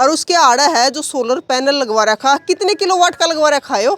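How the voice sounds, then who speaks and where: With a Haryana accent, this woman speaks in a high pitch with ordinary pitch variation, the sound dry and close with no echo over noticeable background noise. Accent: Haryanvi. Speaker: village vlogger. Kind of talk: casual interview and walk-through vlog.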